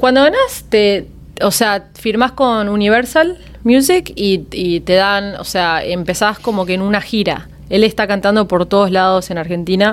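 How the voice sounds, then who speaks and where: At a fairly slow pace, a woman speaks in an unremarkable speaking voice with medium pitch and ordinary pitch variation. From Miami, US (Argentine family, moved at five). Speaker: singer, former singing-contest contestant. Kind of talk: podcast interview, casual chat. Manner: frequent Spanish-English code-switching.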